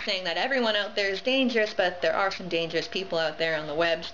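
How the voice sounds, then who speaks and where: A woman speaks at a fairly quick pace in a medium pitch. Noticeable background noise and audible room echo surround her voice. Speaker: cosplayer video blogger. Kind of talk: casual FAQ vlog. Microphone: camera makes lisp sound worse.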